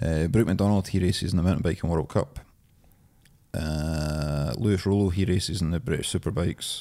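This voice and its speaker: Speaking at a fairly quick pace, a man with a very deep, low pitch and a dark, mellow tone uses ordinary pitch variation on a very clean recording with a silent background. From Scotland, East Lothian. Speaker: beard oil business founder. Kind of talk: casual chat.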